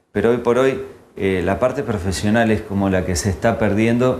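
A moderate pace with a Rioplatense accent, ordinary pitch variation and light background noise. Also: man. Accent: Argentine Spanish (rioplatense). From Argentina, Santa Fe. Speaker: hairdresser; guest. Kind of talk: interview. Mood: calm, critical opinions. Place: studio. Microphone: lapel.

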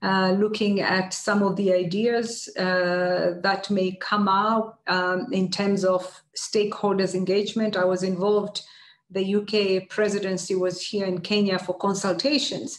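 With audible room echo, a woman speaks at a medium pitch and a fairly slow pace with little pitch movement.

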